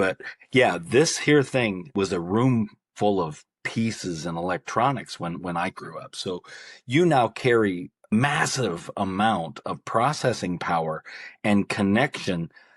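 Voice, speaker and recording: A man talks slowly, with a fairly low pitch and lively intonation, in a normal speaking voice. The background is quiet. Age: 60s. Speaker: author and personal growth coach. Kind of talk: podcast interview.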